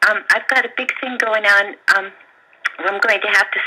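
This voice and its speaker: A woman's medium-pitched voice at a moderate pace over noticeable background noise. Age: 60s. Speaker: caller. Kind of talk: radio call-in. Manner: halting.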